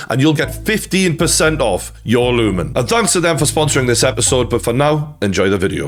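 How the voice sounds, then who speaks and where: A man with a Geordie accent at a fairly quick pace, hardly any pauses and very even loudness, with music in the background. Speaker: boxing YouTuber. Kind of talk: sponsored ad read.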